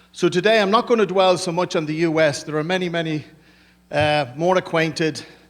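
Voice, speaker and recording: A man speaks at a moderate pace. His pitch is fairly high, and his intonation is fairly even. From Ireland. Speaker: business executive. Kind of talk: conference presentation.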